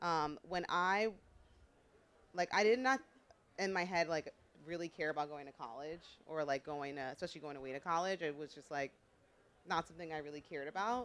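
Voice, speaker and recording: Moving at a moderate pace with ordinary pitch variation, an American-accented voice shows big swings in loudness and long, frequent pauses. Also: woman. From New York, the Bronx. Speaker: fashion editor. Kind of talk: panel discussion.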